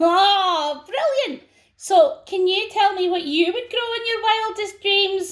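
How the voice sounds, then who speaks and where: Using a put-on character voice, a woman speaks fairly slowly in an extremely high, squeaky pitch with a bubbly tone. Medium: read story. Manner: bright, bubbly.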